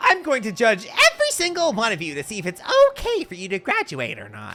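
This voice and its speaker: A put-on character voice runs at a fairly quick pace with a fairly high pitch. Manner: menacing, playful.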